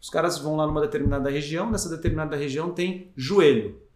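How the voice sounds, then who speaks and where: Ordinary pitch variation comes through with audible room echo. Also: man. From Greater ABC region, São Paulo, Brazil. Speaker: business executive. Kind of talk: interview.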